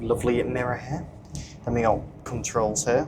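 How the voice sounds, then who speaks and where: A man speaks against noticeable background noise. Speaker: train travel vlogger. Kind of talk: travel vlog commentary. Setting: on a moving train. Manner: casual, with frequent fillers; quiet, subdued talk.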